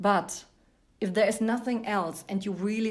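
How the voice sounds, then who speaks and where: Speaking with a German accent, a woman at medium pitch keeps a fairly even intonation amid audible room echo. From Germany. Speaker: actress. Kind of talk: interview.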